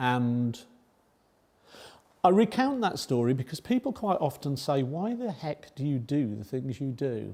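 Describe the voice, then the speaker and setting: A man with a southern English accent speaks at a fairly slow pace, with long, frequent pauses and lively intonation. His pitch is fairly high, and his tone is dark and mellow. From northern England, Oldham near Manchester, moved to Kingston upon Thames at six. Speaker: charity founder. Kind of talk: public talk.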